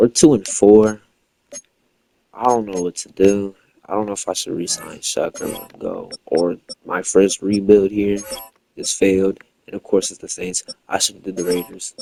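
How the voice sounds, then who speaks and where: A man mumbles at a moderate pace in a fairly low, dark and mellow voice, his intonation flat and monotone, his loudness swinging widely, with long, frequent pauses. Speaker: gaming YouTuber. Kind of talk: gameplay commentary. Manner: mumbling; casual.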